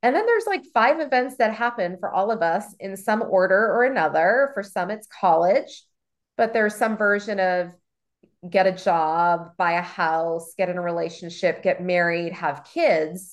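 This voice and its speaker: An animated voice with an American accent, ordinary pitch variation and a quiet background. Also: woman, medium pitch for a woman, moderate pace. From US Mid-Atlantic (Maryland). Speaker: realtor and author. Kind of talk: casual interview.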